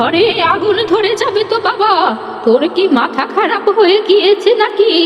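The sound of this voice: A woman's cartoonish character voice, extremely high-pitched and fairly slow, with clear background noise and a slight echo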